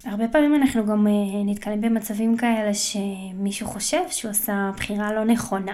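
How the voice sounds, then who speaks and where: A woman with a fairly high pitch talks at a moderate pace, with noticeable background noise present. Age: 20s. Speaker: podcast host. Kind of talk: solo monologue. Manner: casual, with frequent fillers.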